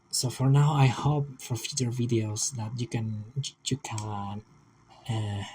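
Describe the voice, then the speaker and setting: At a fairly slow pace, a man speaks in a dark, mellow tone that is somewhat breathy, keeping his intonation fairly even. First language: not English. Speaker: aspiring vtuber, digital artist. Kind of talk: casual video monologue. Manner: halting, many repetitions and fillers. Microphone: old laptop, poor audio quality.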